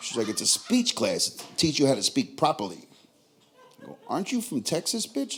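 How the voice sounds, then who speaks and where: A man's animated, high-pitched voice in a strong New York accent, at a moderate pace, with very wide pitch swings, big swings in loudness and noticeable background noise. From New York, Queens. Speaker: stand-up comedian. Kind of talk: stand-up. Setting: stage with audience.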